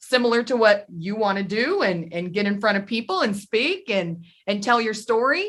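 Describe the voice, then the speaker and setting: This woman's voice is pitched fairly high. The pitch moves in a normal way. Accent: slight Southern US. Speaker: podcast host. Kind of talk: interview chat. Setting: studio.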